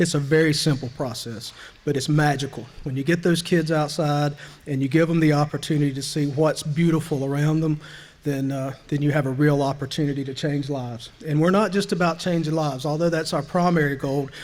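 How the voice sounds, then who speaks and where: A man in a Southern US accent, talking at a fairly quick pace with fairly even intonation, amid audible room echo. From US South. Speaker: nonprofit leader. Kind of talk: banquet speech. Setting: banquet hall with audience.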